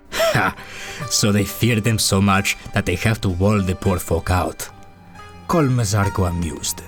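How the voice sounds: A man's put-on character voice, fairly low in pitch, over clear music in the background. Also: moderate pace.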